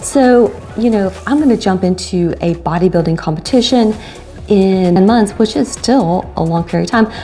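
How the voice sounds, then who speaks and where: Music sits behind the speech. The woman talks at a medium tempo. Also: medium pitch for a woman, ordinary pitch variation. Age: 50s. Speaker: fitness vlogger. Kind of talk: casual talk to camera.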